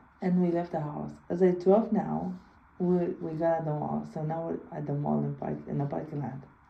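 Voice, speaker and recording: Audible room echo and noticeable background noise around a woman talking at a moderate pace. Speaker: video blogger. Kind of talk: personal storytelling. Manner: halting.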